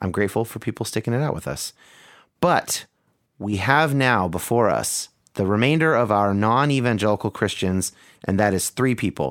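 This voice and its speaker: On a very clean recording with a silent background, a man speaks at a fairly quick pace. He has a plain, everyday voice with a fairly low pitch and ordinary pitch variation. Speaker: podcast host. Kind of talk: conversational podcast narration.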